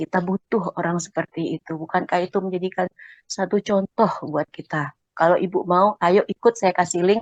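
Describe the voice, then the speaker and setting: A woman talks with fairly even intonation and hardly any pauses, in a dry, close sound with no echo. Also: medium pitch for a woman, moderate pace. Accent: Sumatran. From Sumatra. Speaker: Quran study participant. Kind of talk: personal story in a study group.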